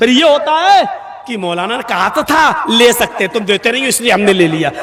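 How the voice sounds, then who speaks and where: A man speaks with very wide swings in pitch. Noticeable background noise runs behind him. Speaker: Islamic preacher giving a public sermon. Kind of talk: humorous religious sermon (bayaan) with anecdotes. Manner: humorous, storytelling, lively.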